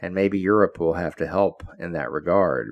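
Here a man with an American accent talks at a moderate pace. His very deep, low voice carries vocal fry. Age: 70s. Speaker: political commentator. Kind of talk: opinion monologue. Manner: animated.

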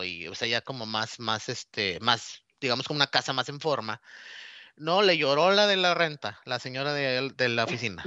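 Lively intonation runs through speech delivered at a moderate speed. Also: man. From Mexico, Nuevo Laredo, Tamaulipas. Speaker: relocated employee. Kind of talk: casual chat. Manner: halting.

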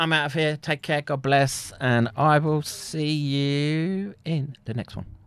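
In a British accent, a man speaks at a fairly high pitch with a bright, sharp tone. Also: very clean recording, silent background. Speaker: streamer. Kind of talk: casual chat. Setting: live stream.

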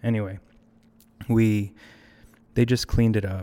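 A man with an American accent speaks at a moderate pace in a very clean recording with a silent background. His fairly low voice has a dark, mellow tone and a monotone, flat intonation. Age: 30s. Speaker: filmmaker. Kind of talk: casual chat. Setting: studio.

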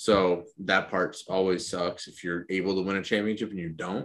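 A man talks at a fairly slow pace with a very deep, low pitch. His intonation stays fairly even. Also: very clean recording, silent background. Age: 20s. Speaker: podcast co-host. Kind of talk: casual banter.

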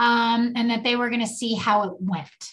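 The pace stays moderate. The speaker has a plain, everyday voice. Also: woman. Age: 60s. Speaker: podcast co-host, mother and grandmother. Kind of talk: casual chat. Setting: video call.

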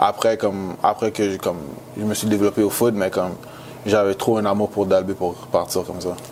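Against noticeable background noise, a man with a fairly low pitch speaks at a moderate pace in a flat, monotone delivery. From Montreal, Quebec. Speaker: college football player. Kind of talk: interview.

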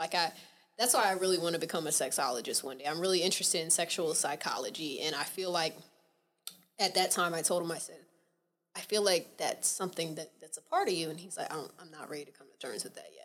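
Talking at a very fast pace with an American accent, a woman with a fairly low pitch shows ordinary pitch variation and big swings in loudness. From Atlanta, Georgia, US South. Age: 20s. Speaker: podcast guest. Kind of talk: casual chat.

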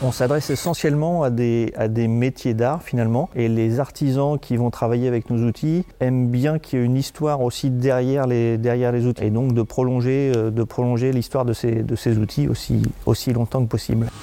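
Speaking at a moderate pace with hardly any pauses, a man uses a medium pitch, a dark, mellow tone and fairly even intonation, his loudness very even against a quiet background. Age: 50s. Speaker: company director. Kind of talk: interview. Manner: halting.

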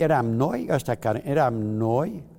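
A man's dark, mellow tone with vocal fry. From Transylvania, Romania (Mureș county). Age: 80s+. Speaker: Holocaust survivor. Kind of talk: testimony. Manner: halting.

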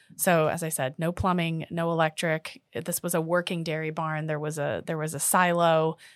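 A woman with an American accent speaks at a fairly low pitch and a moderate pace, with hardly any pauses and a monotone, flat intonation, in a dry, close sound with no echo on a very clean recording with a silent background. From Washington D.C., US. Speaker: interior design executive. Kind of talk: casual interview.

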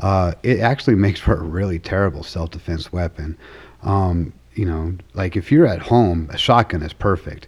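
Speaking in an American accent, a man has a very deep, low pitch and a somewhat breathy voice. His pace is moderate and his pitch variation ordinary. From Arizona, outside Tucson. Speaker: army veteran and self-defense instructor. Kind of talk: interview.

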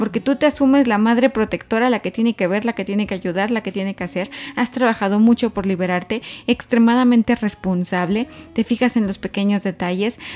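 A woman's animated, fairly high voice with ordinary pitch variation at a fairly quick pace. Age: 30s. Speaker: graphologist. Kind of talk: casual chat.

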